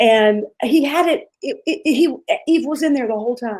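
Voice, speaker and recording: The intonation is lively as a woman talks. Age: 50s. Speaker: pastor. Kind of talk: interview testimony.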